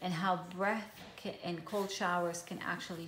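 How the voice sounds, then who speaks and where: A woman with an Israeli accent and medium pitch speaks in a monotone, flat intonation, with audible room echo. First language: Hebrew. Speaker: journaling vlogger. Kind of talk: casual show-and-tell tutorial. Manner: hesitant, many fillers.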